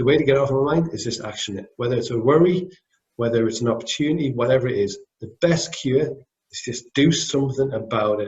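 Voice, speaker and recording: His voice has a somewhat breathy quality. The man talks fairly quickly. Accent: Scottish. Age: 40s. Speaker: business owner. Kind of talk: interview. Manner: fast; mumbling.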